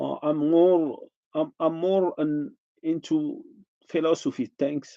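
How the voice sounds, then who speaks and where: A man's fairly high voice, dark and mellow in tone, recorded dry and close with no echo. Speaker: artist. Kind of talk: casual vlog talk. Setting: home kitchen. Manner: halting, many restarts.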